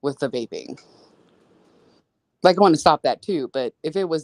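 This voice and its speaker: A woman with an American accent speaks at a fairly quick pace in a very deep, low pitch, and the sound is dry and close with no echo. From US Midwest, St. Louis. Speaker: podcast co-host. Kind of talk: casual chat.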